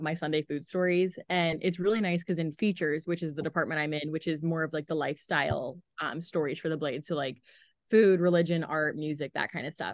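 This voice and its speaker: A woman with a Midwestern American accent speaks at a fairly low pitch. She talks at a fairly quick pace over a quiet background. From US Midwest, southern Ohio (Chillicothe). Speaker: newspaper food editor. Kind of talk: casual interview.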